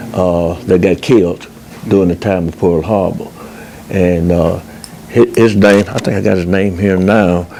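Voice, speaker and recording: Very deep, low-pitched man at a fairly slow pace, monotone and flat, with music in the background. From US South, Collierville, Tennessee. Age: 80s+. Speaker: oral history interviewee. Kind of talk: oral history interview. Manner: halting, frequent fillers.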